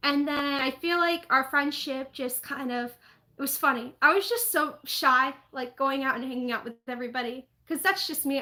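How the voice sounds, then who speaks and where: A woman with an American accent, high-pitched and raised in a projected voice, with a bright, sharp tone, ordinary pitch variation, and a moderate pace, on a very clean recording with a silent background. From US Northeast, New Jersey (Jackson). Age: 20s. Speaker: live streamer, theme park vlogger. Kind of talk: casual live stream chat. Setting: home live stream.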